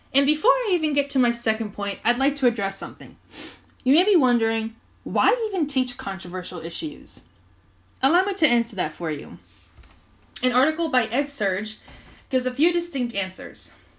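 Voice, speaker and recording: A woman with an American accent talks at a fairly quick pace with long, frequent pauses, her high voice making very wide pitch swings. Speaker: podcast host and education student. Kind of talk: solo podcast monologue.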